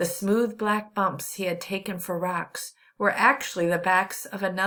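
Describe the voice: The delivery is plain reading aloud, its intonation kept fairly even.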